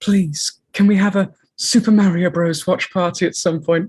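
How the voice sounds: A put-on character voice at middle pitch comes across breathy at a moderate pace.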